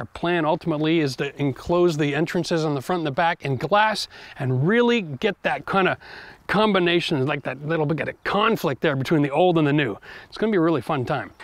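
Fairly quick in pace, a man talks with ordinary pitch variation. The sound is dry with no echo, and the background is quiet. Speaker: home renovation channel host. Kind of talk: casual vlog chat. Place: garden.

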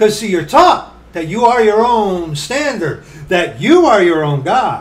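This man's high voice swings very widely in pitch as he talks at a fairly slow pace. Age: 40s. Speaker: preacher. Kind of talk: sermon. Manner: blunt. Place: home room. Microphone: webcam.

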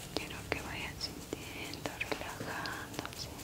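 A woman whispers, her words coming at a very slow pace. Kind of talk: soft-spoken ASMR narration. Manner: soft, hushed ASMR speaking. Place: home room. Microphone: lapel.

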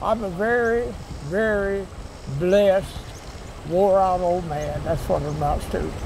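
A man with a Southern US accent and a high pitch, fairly slow with long, frequent pauses and ordinary pitch variation, amid noticeable background noise and audible room echo. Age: 90s. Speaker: flood survivor. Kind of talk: interview.

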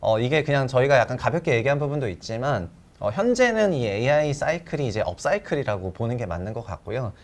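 Very wide pitch swings at a fairly quick pace, on a very clean recording with a silent background. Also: man, medium pitch for a man. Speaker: investment research show host. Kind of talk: interview on stock investing. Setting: studio. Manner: animated, jokey.

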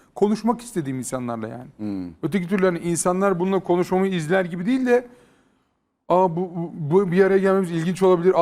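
A high-pitched man at a very fast pace. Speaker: YouTube content creator. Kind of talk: casual chat.

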